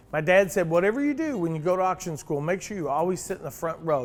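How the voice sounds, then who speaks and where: A man talks in a high voice. Music plays in the background. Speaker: auctioneer. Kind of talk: casual talk to camera.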